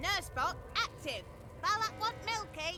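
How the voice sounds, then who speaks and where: An extremely high-pitched, put-on character voice moves at a fairly slow pace over loud background noise. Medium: video game.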